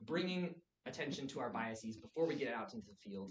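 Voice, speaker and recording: His pitch swings very wide. The man speaks fairly quickly. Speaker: music therapy intern. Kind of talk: presentation. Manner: fast.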